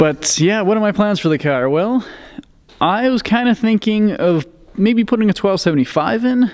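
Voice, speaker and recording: A man speaks at a moderate pace. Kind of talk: casual vlog chat. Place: garage. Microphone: phone near.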